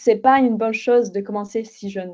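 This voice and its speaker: A woman's medium-pitched voice with a slight Bulgarian accent, a dark, mellow tone, fairly even intonation and a moderate pace, over a quiet background. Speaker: podcast guest. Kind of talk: interview testimony. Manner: hesitant, many fillers.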